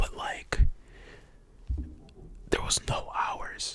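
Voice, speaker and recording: Calm, very slow whispering amid noticeable background noise. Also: man. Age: young. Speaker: ASMR creator. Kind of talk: ASMR whispered storytime. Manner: whispered, soft-spoken, calm.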